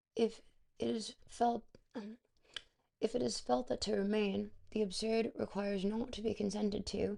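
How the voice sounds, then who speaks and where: Using a put-on character voice, a raspy woman speaks at a medium pitch with ordinary pitch variation, a moderate pace and long, frequent pauses. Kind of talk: weird, exaggerated.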